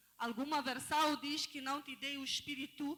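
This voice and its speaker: Projecting a raised voice in a bright, sharp tone, a woman with a non-native accent speaks at a fairly slow pace. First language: not Portuguese (speaking Portuguese). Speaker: lay preacher. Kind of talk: sermon. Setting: church.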